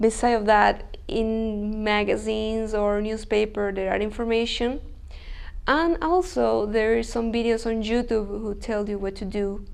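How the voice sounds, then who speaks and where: Audible room echo surrounds a woman speaking with a Chilean accent. Her pitch is fairly high and her pace fairly slow. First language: Spanish. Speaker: language school student. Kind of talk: interview. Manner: halting.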